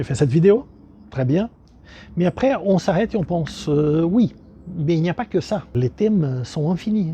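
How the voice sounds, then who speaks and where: A man's high-pitched voice with a strong non-native accent, a dark, mellow tone and lively intonation, at a moderate pace with long, frequent pauses. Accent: thick foreign accent in French. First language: not French (speaking French). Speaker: dog breeder and channel host. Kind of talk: casual vlog presentation. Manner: halting, many hesitations.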